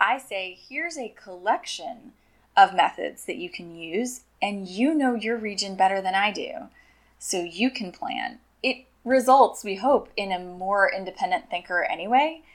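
A woman with a normal speaking voice talks at a medium pitch and a fairly slow pace, with lively intonation and big swings in loudness. The recording is very clean with a silent background. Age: 30s. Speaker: science curriculum developer. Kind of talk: interview.

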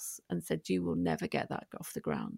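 A woman speaks at a fairly quick pace in a dry, close sound with no echo. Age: 50s. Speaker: prison reform campaigner. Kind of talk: interview.

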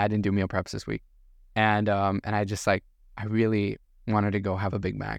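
Against a quiet background, a man with a fairly low pitch speaks at a fairly quick pace in a monotone, flat intonation. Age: 20s. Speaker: podcast host. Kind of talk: casual chat. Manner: laughs often.

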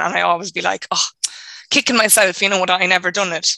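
In an Irish accent, a woman speaks at a medium pitch and a fairly quick pace, her intonation monotone and flat. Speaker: audience member receiving reading.

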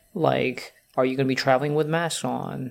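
Moderate pace against noticeable background noise. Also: man. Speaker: podcast co-host. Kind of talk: casual chat. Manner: hesitant, filler-heavy.

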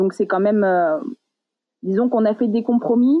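Pitched at a medium level, a woman's voice rises and falls in an ordinary way. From Paris region, France. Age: 30s. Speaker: diving instructor. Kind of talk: interview.

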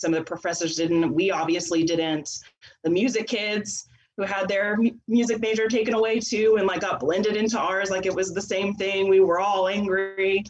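With fairly even intonation, an unremarkable speaking voice keeps a moderate tempo. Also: woman, medium pitch for a woman. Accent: American. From Texas. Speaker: theatre teacher. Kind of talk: casual chat.

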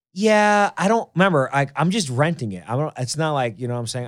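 In a New York accent, a man at medium pitch talks at a very fast pace with very wide pitch swings, on a very clean recording with a silent background. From New York City (Queens). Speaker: podcast host. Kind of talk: casual chat. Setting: studio. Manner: animated.

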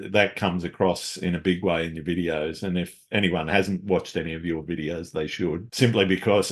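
An Australian-accented man with a very deep, low pitch, a fairly quick pace and fairly even intonation, against a quiet background. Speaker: podcast host, landscape photographer. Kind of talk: casual interview chat.

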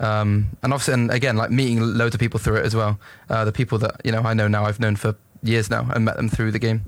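Very fast, flat, monotone delivery at a very even loudness. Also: man, medium pitch for a man. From England. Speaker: esports coach and team manager. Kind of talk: interview.

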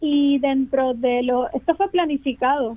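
Pitched high, a woman's voice rises and falls in an ordinary way. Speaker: residents' association representative. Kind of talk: panel discussion. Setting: phone call.

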